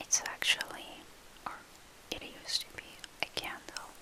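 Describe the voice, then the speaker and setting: A woman's whispering at a fairly slow pace over noticeable background noise. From Argentina. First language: Spanish. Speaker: ASMR creator. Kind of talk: ASMR show-and-tell. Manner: soft-spoken.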